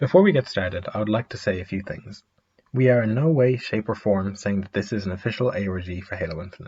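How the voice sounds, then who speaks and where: Somewhat breathy with a dark, mellow tone, a man with a fairly low pitch and ordinary pitch variation talks at a very fast pace. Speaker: gaming video creator. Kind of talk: explainer narration.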